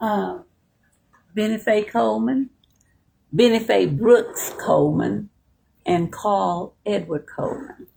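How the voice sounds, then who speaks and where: A woman speaks at a very slow pace, leaving long, frequent pauses. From Texas. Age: 70s. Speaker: community elder. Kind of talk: interview.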